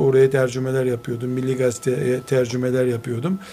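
A man with a medium pitch speaks at a moderate pace while noticeable background noise plays. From Istanbul, Türkiye. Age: 50s. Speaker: Islamic scholar and author. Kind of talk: radio interview. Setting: his library.

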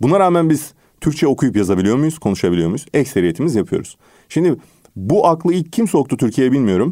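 The recording is very clean, with a silent background. A man with a fairly high pitch and a dark, mellow tone uses vocal fry and very wide pitch swings. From Turkey. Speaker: English teacher and author. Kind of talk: radio interview. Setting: radio studio.

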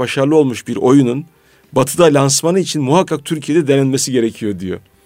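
Music plays in the background as a man speaks with a fairly high pitch and ordinary pitch variation. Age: 40s. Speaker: radio host. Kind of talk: radio talk show.

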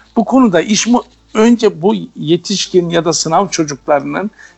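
A man is speaking at a high pitch. His pitch variation is ordinary. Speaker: teacher. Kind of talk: radio interview. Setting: phone call.

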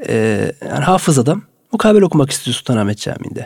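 A man with an ordinary speaking voice talks at a fairly quick pace in a fairly high pitch. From Turkey, Samsun Vezirköprü. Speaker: mosque muezzin. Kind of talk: radio interview. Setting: studio.

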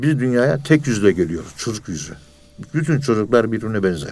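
Here a man with a plain, everyday voice talks at a fairly quick pace in a medium pitch with ordinary pitch variation. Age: 60s. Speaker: professor of Sufism. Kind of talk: religious lecture.

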